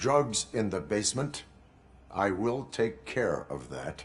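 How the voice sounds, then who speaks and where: In a put-on character voice, a man speaks at a fairly low pitch and a fairly slow pace. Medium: video game. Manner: flat, clipped, robotic.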